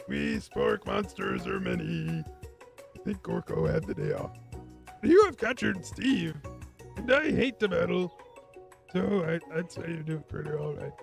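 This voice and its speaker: Clear music plays in the background as a man speaks in a put-on character voice. He leaves long, frequent pauses. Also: moderate pace. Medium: game stream. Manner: rambling, friendly.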